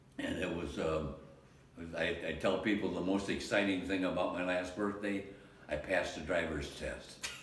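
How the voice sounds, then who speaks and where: With an American accent, a man with a very deep, low pitch speaks at a moderate pace in a monotone, flat intonation, with noticeable background noise and audible room echo. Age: 90s. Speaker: war veteran. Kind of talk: interview. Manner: halting.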